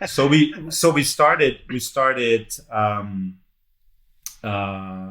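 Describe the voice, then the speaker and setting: A man with a German accent and a bright, sharp tone, on a very clean recording with a silent background. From Germany, Munich. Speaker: entrepreneur and investor. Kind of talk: interview. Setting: podcast. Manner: halting, many fillers and repeats.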